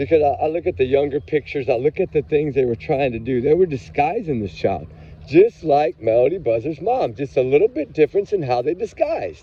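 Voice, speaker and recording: Fairly high for a man, his voice has vocal fry, an animated tone and lively intonation as he talks at a fairly quick pace with hardly any pauses. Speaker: true crime commentary vlogger. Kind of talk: casual livestream commentary.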